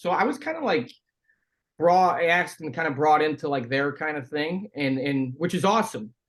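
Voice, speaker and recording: An unremarkable speaking voice from a man with an American accent, fairly high in pitch, at a moderate pace with ordinary pitch variation. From Chicago area, US Midwest. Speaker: former pro hockey player, podcaster. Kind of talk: casual chat.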